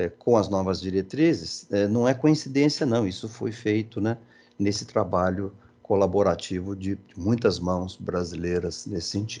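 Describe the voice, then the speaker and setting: A man with a Brazilian accent at a fairly low pitch, dark and mellow in tone, with ordinary pitch variation and a fairly slow pace. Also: quiet background. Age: 60s. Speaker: engineering education speaker. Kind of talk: presentation. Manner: halting, many fillers.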